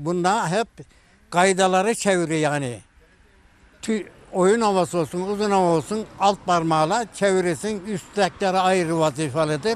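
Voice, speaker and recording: This man speaks at a high pitch with very even loudness. The sound is dry, with no echo. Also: ordinary pitch variation, moderate pace. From Turkey, Denizli (Çameli). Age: 80s+. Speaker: kaval and sipsi player, instrument maker. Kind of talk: interview answer. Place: garden.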